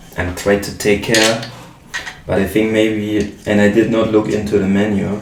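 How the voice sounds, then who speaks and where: With a German accent, a man speaks at a fairly low pitch, and the recording has noticeable background noise and audible room echo. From Germany. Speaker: modular synth musician and YouTuber. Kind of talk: casual talk while building gear. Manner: halting, many fillers.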